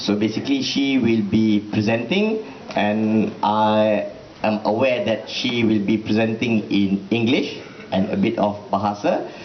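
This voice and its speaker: A man at fairly low pitch with very even loudness and fairly even intonation, amid noticeable background noise and audible room echo. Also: fairly slow pace. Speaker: event presenter. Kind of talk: event introduction. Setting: room with student audience, microphone.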